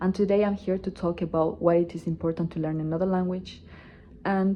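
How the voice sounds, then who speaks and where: A woman with a Spanish accent speaks at a fairly low pitch and a moderate pace, her intonation monotone and flat. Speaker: student. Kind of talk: class presentation speech.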